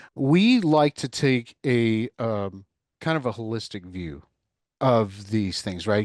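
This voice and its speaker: A man with a Texas accent talks at a medium pitch with ordinary pitch variation, recorded in a dry, close sound with no echo against a quiet background. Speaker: cloud consultant. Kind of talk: mock sales discovery call demo; podcast interview.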